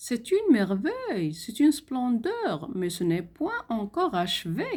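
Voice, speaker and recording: A woman performs a put-on character voice at a high pitch. It sounds shaky and moves at a fairly slow pace. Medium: read story. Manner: trembling.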